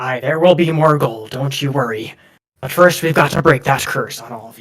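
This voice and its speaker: A man's put-on character voice, raspy and gruff, fairly high in pitch with ordinary pitch variation, at a moderate pace with big swings in loudness. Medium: actual play. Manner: gruff, scolding, says aye.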